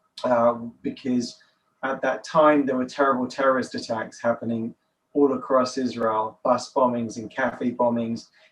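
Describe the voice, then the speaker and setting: With a London accent, a man of medium pitch talks at a moderate pace in a monotone, flat intonation. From England, London. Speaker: nonprofit director, author. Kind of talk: podcast interview.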